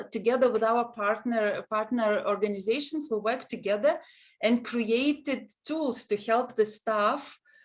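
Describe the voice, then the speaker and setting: Speaking with a Lithuanian accent, a woman keeps a fairly slow pace and a fairly high pitch. Her loudness is very even, with ordinary pitch variation. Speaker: university counseling center head, webinar moderator. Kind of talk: webinar moderation. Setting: online webinar. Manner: halting.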